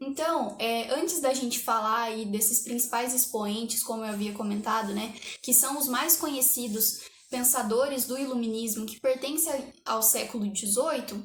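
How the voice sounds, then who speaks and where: In a room with audible echo, a woman speaks at a high pitch and moderate pace. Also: ordinary pitch variation. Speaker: history student teacher. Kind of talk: lecture.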